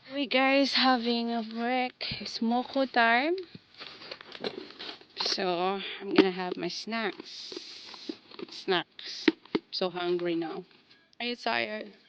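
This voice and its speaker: A woman speaks at a very slow pace in a fairly high, playful voice with very wide pitch swings and long, frequent pauses, over noticeable background noise. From Malaysia. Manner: casual and playful.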